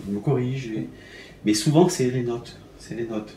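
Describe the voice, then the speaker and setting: With audible room echo around him, a man speaks at a medium pitch in a somewhat breathy voice. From Algeria, raised in France from childhood. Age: 60s. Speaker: concert pianist. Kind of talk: interview. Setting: at his home. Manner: halting, many hesitations and repetitions.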